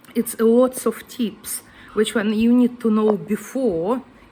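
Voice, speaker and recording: Over noticeable background noise, a woman with a fairly high pitch speaks at a fairly slow pace. Her intonation is monotone and flat. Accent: Ukrainian. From Ukraine. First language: Ukrainian. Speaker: guest house owner. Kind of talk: casual vlog talk. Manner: hesitant, non-native phrasing.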